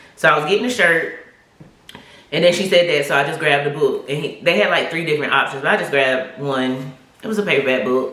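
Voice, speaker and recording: Amid noticeable background noise and audible room echo, a woman talks at a fairly quick pace in a very deep, low pitch with ordinary pitch variation. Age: 40s. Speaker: YouTube vlogger. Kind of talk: casual vlog testimony. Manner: animated.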